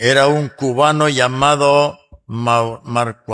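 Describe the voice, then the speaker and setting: The speech is very slow, with fairly even intonation. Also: man. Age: 80s+. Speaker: pastor. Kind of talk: church history lecture. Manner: halting.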